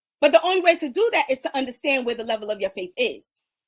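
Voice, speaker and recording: A woman talks at a very fast pace in an animated tone. Her pitch swings very widely. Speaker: faith speaker, livestream host. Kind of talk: motivational sermon-style livestream. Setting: social media livestream.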